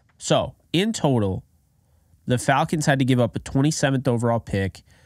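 A man on a dry recording with no echo and a quiet background. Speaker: sports commentator. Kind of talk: commentary. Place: home room. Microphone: studio mic.

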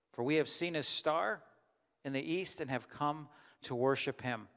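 A man's speech has ordinary pitch variation and moves at a moderate pace. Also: quiet background. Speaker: pastor. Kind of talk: sermon. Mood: calm, measured. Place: church. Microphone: handheld.

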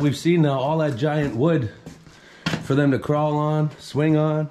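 A man is heard over light background noise. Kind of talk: casual vlog commentary. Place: empty room. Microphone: phone near.

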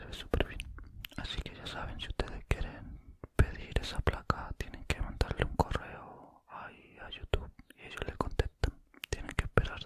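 A man whispers at a moderate pace. His loudness swings widely. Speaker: ASMR creator. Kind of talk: casual talk to camera, ASMR whisper chat. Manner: whispered, soft-spoken. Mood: happy, pleased. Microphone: studio mic.

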